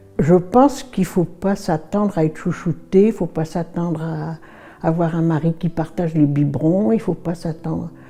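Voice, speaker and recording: A woman's fairly low voice with ordinary pitch variation, a fairly slow pace, hardly any pauses, and noticeable background noise. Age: 80s+. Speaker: retired teacher, sailor's wife. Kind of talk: interview testimony.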